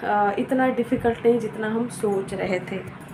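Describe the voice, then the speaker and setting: Noticeable noise runs in the background while a woman talks. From Uttar Pradesh, India. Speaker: fashion designer giving career advice. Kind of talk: casual advice talk to camera. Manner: conversational with frequent hesitations.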